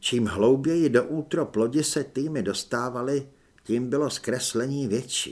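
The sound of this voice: Reading voice, unforced, its pitch varying in an ordinary way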